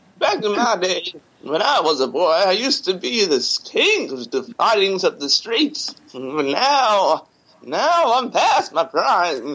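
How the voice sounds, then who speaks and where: A man's put-on character voice, high in pitch with very wide swings, at a fairly slow pace. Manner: reminiscing, weary, past his prime.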